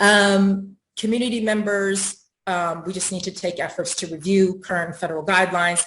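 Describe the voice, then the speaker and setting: A woman's medium-pitched voice with fairly even intonation and hardly any pauses. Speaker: housing advocate panelist. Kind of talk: panel presentation. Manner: fast; hesitant, many fillers.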